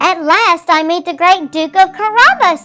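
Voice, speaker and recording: A squeaky, put-on character voice from a woman at a moderate pace, with faint music in the background. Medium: read story. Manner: gracious, regal.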